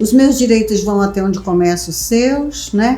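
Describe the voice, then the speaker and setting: Over music in the background and with audible room echo, a woman with a fairly high voice talks at a fairly slow pace using lively intonation. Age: 60s. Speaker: vice mayor. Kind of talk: interview.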